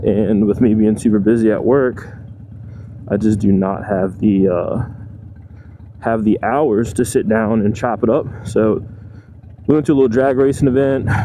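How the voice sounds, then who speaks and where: Over noticeable background noise, a man talks at a moderate pace with fairly even intonation, very even loudness, and long, frequent pauses. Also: medium pitch for a man. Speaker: motorcycle vlogger. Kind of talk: motovlog monologue while riding.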